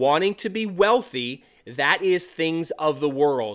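A man speaking at a very slow pace on a very clean recording with a silent background. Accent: American. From California. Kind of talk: solo podcast monologue. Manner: halting, many fillers.

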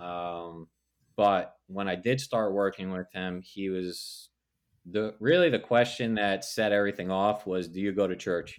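In a very clean recording with a silent background, a man uses a normal speaking voice, fairly low in pitch, with fairly even intonation and a fairly slow pace. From New Jersey. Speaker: pastor. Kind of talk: testimony.

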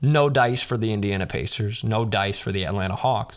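Here a man talks at a moderate pace with an American accent. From Chicago, US Midwest. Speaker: sports podcast host. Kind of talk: game show host bit, mock Price Is Right style bidding. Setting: radio channel show. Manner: animated, playful, showman-like.

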